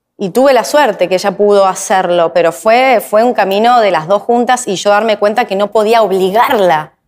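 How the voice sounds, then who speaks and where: A woman at medium pitch talks at a moderate pace with hardly any pauses and ordinary pitch variation against a quiet background. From Argentina. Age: 40s. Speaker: YouTuber and actress; YouTuber, actress. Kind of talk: interview. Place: studio.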